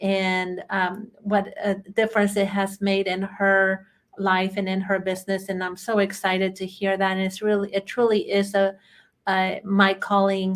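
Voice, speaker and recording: A woman with a Chilean accent speaks at a fairly slow pace. Her medium pitch stays monotone and flat. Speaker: bookkeeping trainer. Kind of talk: webinar presentation. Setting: online webinar.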